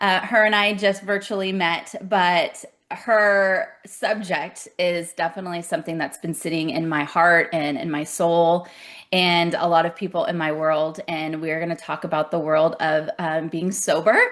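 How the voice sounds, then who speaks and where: A woman speaks with an American accent in an unremarkable speaking voice. Her pitch is fairly low, her intonation fairly even, and her pace moderate. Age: 40s. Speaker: podcast host. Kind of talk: interview conversation.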